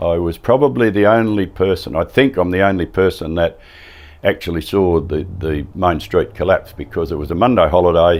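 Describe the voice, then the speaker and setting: A man with a strong Australian accent and a very deep, low pitch talks at a moderate pace with ordinary pitch variation. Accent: broad Australian. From Western Australia, wheatbelt. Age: 70s. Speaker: retired farmer and former radio man. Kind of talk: interview, personal recollection.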